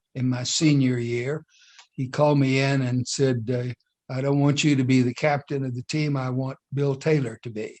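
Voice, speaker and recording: Fairly slow and monotone, a man speaks at a medium pitch with flat intonation. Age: 80s+. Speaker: entrepreneur and business leader. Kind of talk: interview. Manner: halting, many fillers.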